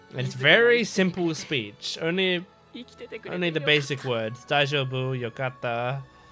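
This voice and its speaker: With music in the background, a man's fairly high voice moves in lively intonation. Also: fairly slow pace. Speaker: anime reactor. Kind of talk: reaction commentary. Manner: excited.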